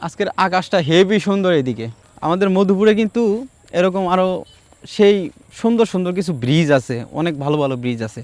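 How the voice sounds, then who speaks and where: A man with a high voice speaks with lively intonation. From Bangladesh, Tangail (Madhupur area). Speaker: travel vlogger. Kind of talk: casual vlog narration. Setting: outdoors.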